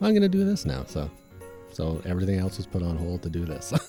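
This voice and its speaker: Music plays in the background. A man speaks over it at a very fast pace. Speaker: comic book creator. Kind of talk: interview answer. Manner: hesitant, casual.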